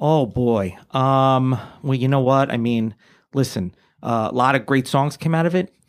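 An unremarkable speaking voice comes from a man with an American accent, a fairly high pitch and ordinary pitch variation. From New York area (born New Jersey). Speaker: comedian. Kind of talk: casual chat.

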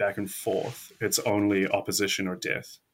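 With a New Zealand accent, a man talks in a monotone, flat intonation over a silent background in a very clean recording. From New Zealand, South Island. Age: young. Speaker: historian. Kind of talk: interview.

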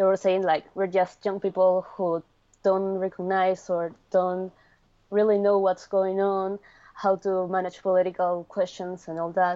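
A woman with a Spanish accent speaks at a fairly slow pace in a medium pitch. Her tone is dark and mellow, her intonation flat and monotone. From Peru. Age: 20s. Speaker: law student. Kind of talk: interview. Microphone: connection delay.

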